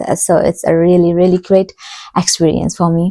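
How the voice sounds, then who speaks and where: A woman speaks with a Nepali accent. Her tone is dark and mellow, her pace moderate. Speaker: PhD student, vlogger. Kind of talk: casual vlog talk.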